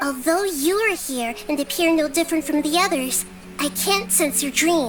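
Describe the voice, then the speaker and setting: A female-sounding voice uses a put-on character voice at a high pitch and moderate pace, with clear music in the background. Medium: fan dub. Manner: calm, measured, reasoning.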